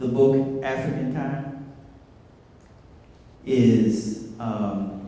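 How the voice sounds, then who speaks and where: With noticeable background noise and audible room echo, a man of medium pitch talks at a very slow pace in a fairly even intonation. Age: 60s. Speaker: community elder speaker. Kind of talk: speech at community event. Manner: hesitant with many fillers.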